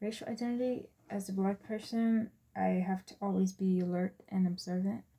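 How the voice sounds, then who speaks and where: The voice is somewhat breathy with a dark, mellow tone and monotone, flat intonation. It moves at a moderate pace with big swings in loudness. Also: woman, medium pitch for a woman. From Texas, born in US Virgin Islands. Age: 20s. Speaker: student. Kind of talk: class presentation.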